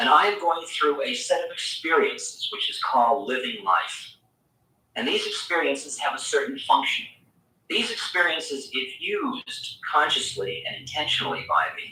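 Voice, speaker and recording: A man at a moderate pace, with audible room echo. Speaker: spiritual teacher. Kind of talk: spiritual lecture. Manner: soft-spoken.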